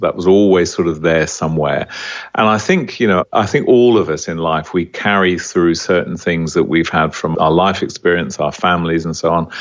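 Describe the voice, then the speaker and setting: In an Australian accent, a man with a very deep, low pitch speaks at a moderate pace with ordinary pitch variation. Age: 60s. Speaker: small business founder. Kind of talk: podcast interview. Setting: podcast interview.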